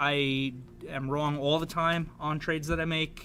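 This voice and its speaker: This man talks in a monotone with flat intonation, his pitch fairly high. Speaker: trading educator. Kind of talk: market update presentation. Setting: live online trading room. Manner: hesitant, many repeated words.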